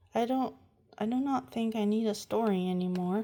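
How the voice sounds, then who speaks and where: Using a put-on character voice, a woman talks at a moderate pace in a fairly high pitch. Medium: read story.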